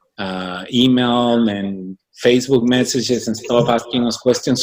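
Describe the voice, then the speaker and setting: A man speaks at a medium pitch. His intonation is fairly even. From Michoacán, Mexico. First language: Spanish. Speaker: business organization founder. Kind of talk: interview.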